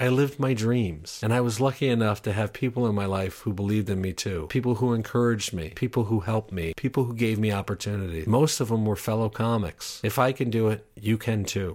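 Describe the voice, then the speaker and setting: In a very clean recording with a silent background, a man with an American accent talks at a very fast pace, his fairly low pitch showing ordinary variation. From Upstate New York. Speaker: stand-up comedian and TV writer. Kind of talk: personal monologue.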